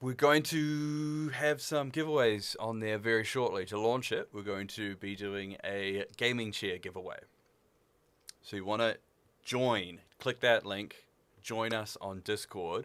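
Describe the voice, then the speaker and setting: A man with a New Zealand accent, medium pitch and ordinary pitch variation, at a fairly slow pace. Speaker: livestream gamer and shop staff. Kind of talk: live stream chat. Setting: studio. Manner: casual, halting.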